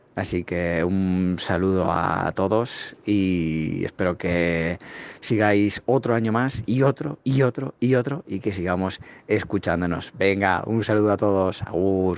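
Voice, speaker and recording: A man speaks with a very deep, low pitch and ordinary pitch variation. He goes at a very slow pace. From Spain. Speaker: fellow podcaster. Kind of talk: recorded congratulatory audio message.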